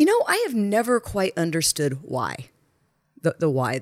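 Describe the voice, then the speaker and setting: An American accent at a moderate pace, on a very clean recording with a silent background. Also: woman. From Texas. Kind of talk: casual chat. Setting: apartment.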